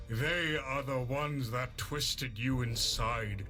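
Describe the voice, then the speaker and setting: Using a put-on character voice at a medium pitch, a man speaks at a fairly slow pace over clear music in the background. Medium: machinima. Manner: formal, solemn, unhurried.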